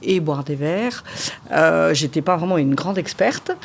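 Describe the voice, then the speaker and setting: This woman's voice sits fairly low and shows ordinary pitch variation. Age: 60s. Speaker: winemaker. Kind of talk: interview. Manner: hesitant, with frequent fillers.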